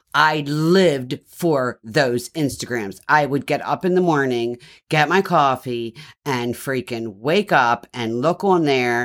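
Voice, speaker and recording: A man's fairly high pitch and lively intonation, with a Baltimore accent, at a fairly slow pace on a very clean recording with a silent background. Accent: Baltimore accent with a twang. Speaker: host's mother. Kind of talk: casual chat.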